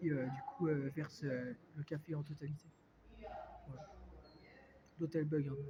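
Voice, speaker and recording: Against noticeable background noise, a man with a fairly high pitch talks at a moderate pace in a flat monotone, pausing often and at length. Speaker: vlogger. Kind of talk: casual vlog talk. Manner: hesitant, many fillers.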